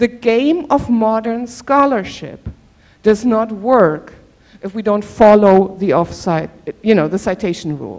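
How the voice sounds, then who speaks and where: Speaking very slowly, a woman with a German accent has a fairly high voice. Her pitch swings very widely. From Germany. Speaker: professor. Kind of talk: workshop presentation. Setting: auditorium.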